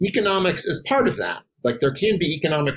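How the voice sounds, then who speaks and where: This man has a somewhat breathy voice. He talks with an American accent. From Wisconsin. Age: 50s. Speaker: political science professor. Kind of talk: podcast interview.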